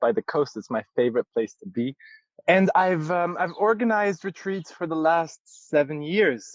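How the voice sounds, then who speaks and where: A man speaks at a moderate pace in an Arabic accent, with very wide pitch swings. The sound is dry and close, with no echo. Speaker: yoga teacher. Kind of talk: interview. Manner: halting, many fillers.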